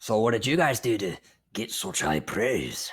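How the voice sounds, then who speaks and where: A man's raspy, put-on character voice at a medium pitch and moderate pace. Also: lively intonation. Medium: actual play. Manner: commanding, suspicious, veiled threats.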